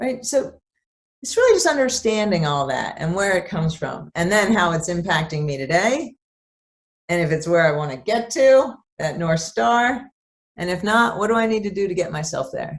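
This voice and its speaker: The speaker is a woman with a medium pitch. She keeps a moderate pace and her pitch swings very widely. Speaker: therapist. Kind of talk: interview. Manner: calm, compassionate; animated.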